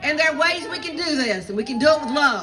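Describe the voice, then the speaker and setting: With noticeable background noise and audible room echo, a woman with a Southern US accent speaks in a raised, projected, animated voice, high in pitch with lively intonation. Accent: Southern US (Georgia). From US South, southeast Georgia. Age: 60s. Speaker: pastor. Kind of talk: rally speech. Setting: outdoor rally with crowd.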